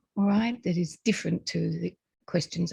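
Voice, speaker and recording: Her voice carries an Australian accent with vocal fry. This woman's tone is dark and mellow. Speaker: presenter, lecturer. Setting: lecture or presentation with slides. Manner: tries to speak slowly.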